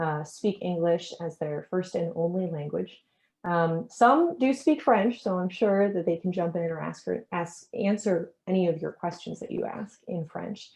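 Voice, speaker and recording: Somewhat breathy and at a fairly slow pace, a woman with an American accent speaks at medium pitch with ordinary pitch variation. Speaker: event host and curator. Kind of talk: webinar presentation. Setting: video call.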